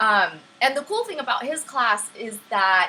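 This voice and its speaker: A woman speaks in a raised, projected voice. Noticeable background noise runs underneath. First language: Vietnamese. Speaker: livestream STEM teacher. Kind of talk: live-streamed lesson with chat. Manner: friendly, upbeat.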